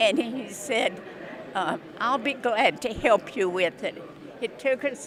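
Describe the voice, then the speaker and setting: A woman with an American accent talks at a very slow pace, her fairly high pitch carrying lively intonation over noticeable background noise. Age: 80s+. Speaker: war veteran. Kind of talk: interview.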